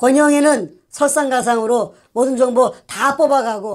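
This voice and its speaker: A woman's voice over a quiet background. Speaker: co-host. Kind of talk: political commentary. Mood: indignant, accusatory. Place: studio.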